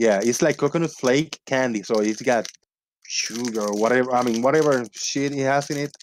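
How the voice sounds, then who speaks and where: This man speaks with a non-native accent at a medium pitch. His pace is moderate and his pitch variation ordinary. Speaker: live-stream show host. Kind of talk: casual chat.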